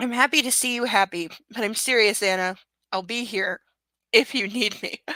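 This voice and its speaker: In a very clean recording with a silent background and a dry, close sound with no echo, a woman does a raspy, put-on character voice at a fairly high pitch and a moderate pace, with long, frequent pauses. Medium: read story. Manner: earnest, sincere.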